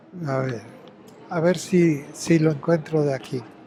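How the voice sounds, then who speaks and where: Noticeable background noise sits behind a man who speaks very slowly at a high pitch with ordinary pitch variation. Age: 80s+. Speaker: retired wrestler and boxing historian. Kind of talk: interview.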